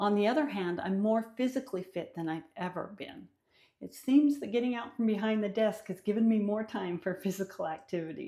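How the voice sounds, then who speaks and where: A woman speaks at a fairly quick pace in a dark, mellow tone. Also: medium pitch for a woman, lively intonation. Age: 60s. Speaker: vlogger. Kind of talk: personal vlog monologue. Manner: conversational.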